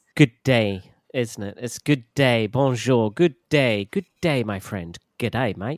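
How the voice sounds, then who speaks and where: Lively intonation marks a man's medium-pitched voice at a very slow pace. The sound is dry and close with no echo, on a very clean recording with a silent background. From southern England, southwest. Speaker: English teacher. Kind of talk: casual chat.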